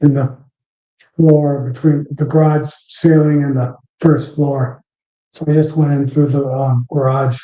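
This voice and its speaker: A man at a fairly slow pace, with a fairly high pitch, monotone, flat intonation and a dark, mellow, somewhat breathy tone. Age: 60s. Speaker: beekeeper. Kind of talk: live stream chat. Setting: live stream. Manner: casual, halting with fillers.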